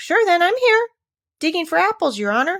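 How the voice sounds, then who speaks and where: Squeaky and extremely high, this put-on character voice swings very widely in pitch. It moves at a fairly quick pace. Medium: read story. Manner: deferential, says 'your honor'.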